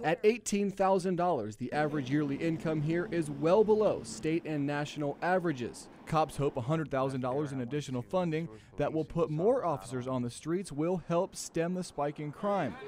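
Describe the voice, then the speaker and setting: Using a normal speaking voice, a man with a fairly high pitch and lively intonation talks at a moderate pace with hardly any pauses. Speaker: TV news reporter. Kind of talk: TV news report delivery.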